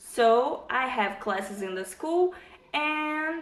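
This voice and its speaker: A woman with a Brazilian accent at a very slow pace, with ordinary pitch variation and audible room echo. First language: Portuguese. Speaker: vlogger. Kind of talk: casual vlog talk. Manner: halting, with fillers.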